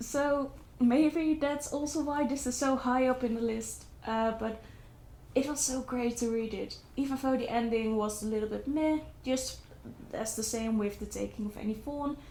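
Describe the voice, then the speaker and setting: A woman with a non-native accent speaks at a high pitch. Her pace is moderate and her intonation fairly even. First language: not English. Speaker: book vlogger. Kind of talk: casual book review vlog. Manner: hesitant, with fillers and restarts.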